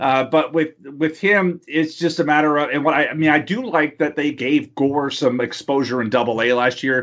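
A man with an American accent, fairly high in pitch, with ordinary pitch variation and a moderate pace. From Texas, Houston. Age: 40s. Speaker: fantasy baseball columnist. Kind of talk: interview. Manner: hesitant, many fillers.

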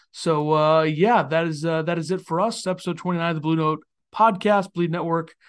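A man speaks at a fairly quick pace with a high pitch and fairly even intonation against a quiet background. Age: 20s. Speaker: sports podcast co-host. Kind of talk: casual chat.

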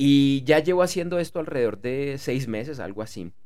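This man talks at a moderate pace in a fairly high voice with ordinary pitch variation. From Bogotá, Colombia. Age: 40s. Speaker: podcast host and author. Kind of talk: solo podcast monologue. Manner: halting, frequent word repetitions.

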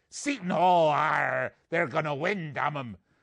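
A man puts on a raspy character voice with a fairly high pitch, delivered at a fairly slow pace. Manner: growling, exaggerated pirate arr.

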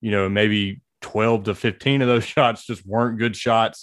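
An ordinary speaking voice from a man, fairly low in pitch, with fairly even intonation and a moderate pace, in a very clean recording with a silent background. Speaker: sports writer and guest.

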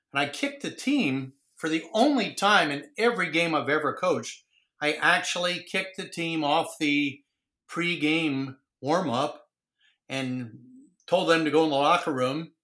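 A man with an American accent speaks at a moderate pace, his fairly high pitch carrying a bright, sharp tone. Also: ordinary pitch variation. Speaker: retired high school football coach. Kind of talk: casual interview. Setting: video call.

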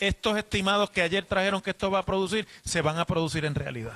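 Using a raised, projected voice with ordinary pitch variation, a man talks at a very fast pace in a dry, close sound with no echo. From Puerto Rico. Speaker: radio host. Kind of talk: radio interview. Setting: hotel lobby remote broadcast.

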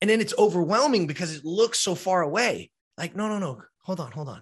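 Against a quiet background, a man with a high pitch speaks in an animated tone at a fairly quick pace. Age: 50s. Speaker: former professional baseball player. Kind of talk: casual chat.

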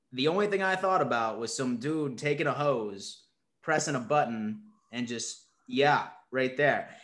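Here a man talks at a moderate pace in an ordinary speaking voice. His pitch is fairly high and his intonation is lively. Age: 20s. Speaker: sports podcast host. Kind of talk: casual chat.

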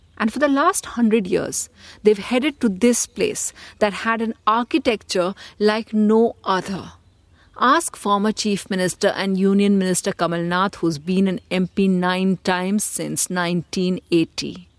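A woman speaks at a fairly slow pace in an Indian accent. Her medium-pitched voice sounds dry and close, with no echo. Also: ordinary pitch variation, very clean recording, silent background. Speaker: podcast host and political editor. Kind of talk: scripted narration with interview links.

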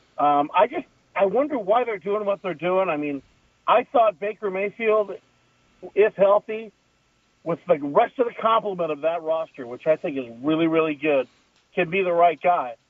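A high-pitched man with an American accent, lively intonation and long, frequent pauses. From Southern California. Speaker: former football kicker, sports commentator. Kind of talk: casual chat.

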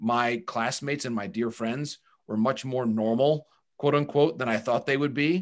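Here is an ordinary speaking voice from a man at a medium pitch, with a moderate pace and ordinary pitch variation. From Michigan, Bay City area. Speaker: baseball broadcaster and journalist. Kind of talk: interview.

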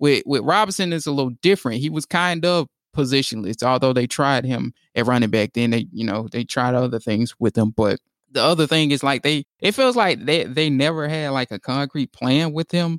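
A man with an American accent and an unremarkable speaking voice talks at a fairly quick pace and fairly high pitch with ordinary pitch variation, in a very clean recording with a silent background and a dry, close sound with no echo. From United States. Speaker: sports editor and podcast co-host. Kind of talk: casual chat.

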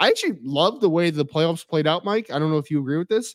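A man's plain, everyday voice, fairly high in pitch with lively intonation, in a very clean recording with a silent background and a dry, close sound with no echo. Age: 30s. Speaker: football analyst and podcast co-host. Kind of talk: casual sports betting chat.

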